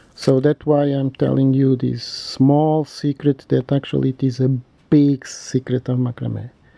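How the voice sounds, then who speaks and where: Fairly high for a man, this voice has a dark, mellow tone and a non-native accent at a fairly slow pace. The sound is dry and close, with no echo. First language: not English. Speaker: macrame instructor. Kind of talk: tutorial. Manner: halting; casual.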